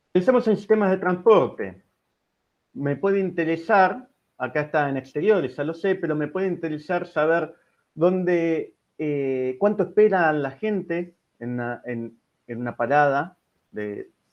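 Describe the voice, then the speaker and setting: This man has a high pitch and lively intonation. He speaks at a fairly slow pace. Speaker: engineering researcher giving a webinar. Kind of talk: technical lecture. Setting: online webinar. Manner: hesitant fillers.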